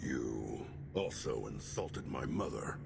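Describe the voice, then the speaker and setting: Over loud background noise, a man speaks in a put-on character voice at a fairly slow pace. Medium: video game. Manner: dry, businesslike.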